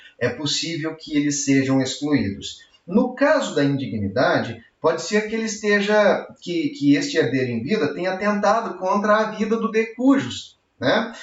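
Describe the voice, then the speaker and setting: This man speaks at a moderate pace with a high pitch and very wide pitch swings, and audible room echo surrounds his voice. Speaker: law professor. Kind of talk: lecture. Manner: animated.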